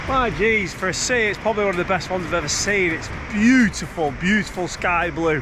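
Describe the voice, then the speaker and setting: A man's high voice at a fairly quick pace, with ordinary pitch variation, audible room echo and music in the background. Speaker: travel vlogger. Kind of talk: travel vlog narration. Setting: outdoors. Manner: loud.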